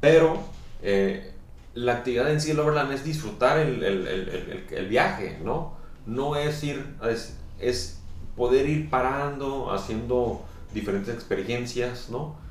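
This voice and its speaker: A man with a medium pitch speaks very slowly with lively intonation. There is audible room echo and noticeable background noise. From northwest Mexico, Sonora. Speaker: tourism professional and overlanding enthusiast. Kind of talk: casual interview. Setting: coffee shop. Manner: hesitant, many fillers.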